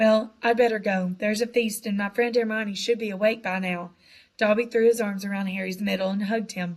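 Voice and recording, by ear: With fairly even intonation, the speaker is reading aloud in a natural voice.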